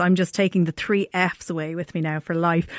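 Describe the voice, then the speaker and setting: In a very clean recording with a silent background and a dry, close sound with no echo, a woman speaks with an Irish accent. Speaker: wedding podcast host. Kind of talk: casual interview.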